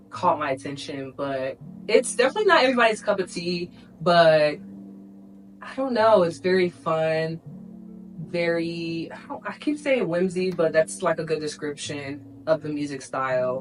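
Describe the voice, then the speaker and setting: A woman's fairly low voice with lively intonation at a moderate pace, with music in the background. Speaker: lifestyle vlogger. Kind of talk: casual talk to camera.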